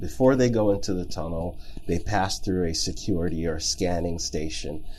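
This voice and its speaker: This man's voice has a dark, mellow tone, lively intonation and vocal fry. Audible room echo surrounds it. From Jamaica, then raised in Texas and Germany. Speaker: logistics company founder and CEO. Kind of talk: interview.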